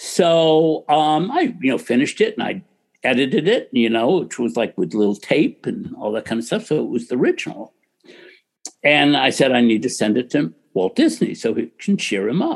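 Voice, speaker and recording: A man with a General American accent talks at a moderate pace in a fairly high pitch, showing very wide pitch swings and vocal fry. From US Midwest (Ohio). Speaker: film producer and studio executive. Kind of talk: interview conversation.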